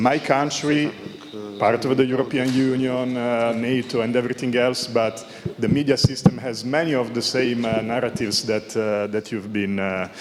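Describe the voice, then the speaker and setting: A man speaks at a moderate pace with a medium pitch and fairly even intonation. Noticeable background noise runs behind him. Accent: Italian. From Italy. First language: Italian. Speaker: audience member asking question. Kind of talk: panel Q&A question. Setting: conference panel with audience. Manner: halting, many fillers.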